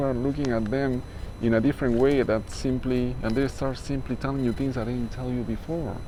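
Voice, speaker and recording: A man with a non-native accent speaks at a medium pitch and a fairly quick pace in a monotone, flat intonation, with audible room echo and noticeable background noise. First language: not English. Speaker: spiritual life coach. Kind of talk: motivational talk. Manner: casual, hesitant with fillers.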